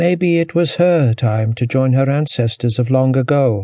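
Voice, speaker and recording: Against a quiet background, a man talks in a somewhat breathy voice with a dark, mellow tone and ordinary pitch variation. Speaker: audiobook narrator. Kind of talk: dramatic audiobook narration of a historical novel.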